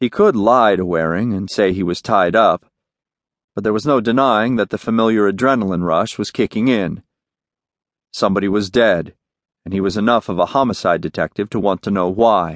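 Delivered in a plain, everyday voice at a moderate pace with ordinary pitch variation, the sound is dry and close with no echo over a quiet background. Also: man, fairly low pitch for a man. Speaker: audiobook narrator. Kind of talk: dramatic audiobook narration of a crime novel, third person. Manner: intimate, moody, crisp storytelling that slips into character dialogue.

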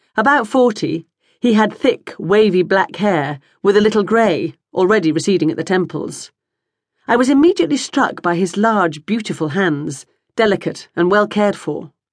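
A woman's unremarkable speaking voice at a medium pitch, with lively intonation and a moderate pace. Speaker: audiobook narrator. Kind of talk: audiobook narration. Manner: measured, even, formal storytelling pace.

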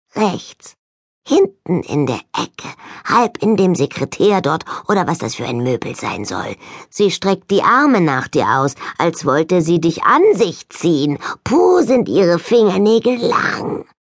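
A put-on character voice sounds female and sits at a middle pitch. The pace is fairly slow. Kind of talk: audiobook character acting. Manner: mocking, sarcastic, chatty; shrill, jumpy.

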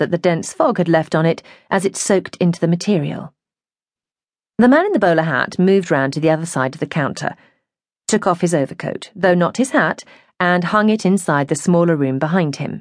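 A woman with a plain, everyday voice, fairly low in pitch, with lively intonation and a fairly quick pace against a quiet background. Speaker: audiobook narrator. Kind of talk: audiobook reading of a memoir, third-person narration with character voices. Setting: studio recording. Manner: clear, measured, expressive narration.

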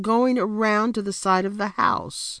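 Over a quiet background, a woman with a plain, everyday voice speaks at a fairly high pitch, the sound dry and close with no echo. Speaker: audiobook narrator. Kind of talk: dramatic first-person audiobook narration, suspenseful memoir reading. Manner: suspenseful, building tension, hushed then urgent.

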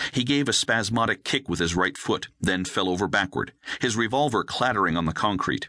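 Against a quiet background, a man talks fairly quickly at a fairly low pitch, his tone bright and sharp, his intonation lively and his loudness very even. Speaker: audiobook narrator. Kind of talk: first-person hardboiled thriller narration, wry and action-packed. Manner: brisk, punchy delivery through the gunfight.

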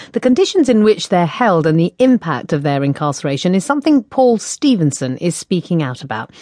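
A dark, mellow tone carries very wide pitch swings at a fairly quick pace. The sound is dry and close, with no echo. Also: woman. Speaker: news presenter. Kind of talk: formal newsreading. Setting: studio. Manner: formal, clear, measured.

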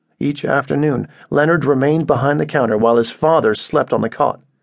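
A man's fairly high-pitched voice at a moderate pace, an ordinary speaking voice with fairly even intonation. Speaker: audiobook narrator. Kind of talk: dramatic literary narration, reading a short story aloud. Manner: measured, grave storytelling pace; somber, sorrowful tone for scenes of persecution.

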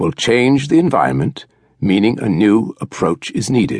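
Vocal fry from a man, along with very wide leaps in pitch. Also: dry, close sound with no echo. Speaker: audiobook narrator. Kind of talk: audiobook reading of a nonfiction book, steady and literary. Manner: measured, formal, even-paced; clear and deliberate, instructive tone.

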